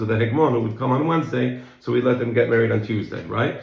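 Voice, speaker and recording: A man talks at a very fast pace in a medium pitch. Noticeable background noise and audible room echo fill the recording. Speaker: Talmud teacher. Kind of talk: lecture.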